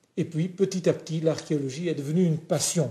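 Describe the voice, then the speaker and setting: The voice has a dark, mellow tone, moves at a moderate pace and keeps a fairly even intonation. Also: man. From Flanders, Belgium. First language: Flemish (Dutch) (speaking French). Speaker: pastor and lecturer. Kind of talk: TV interview. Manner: halting, many hesitations.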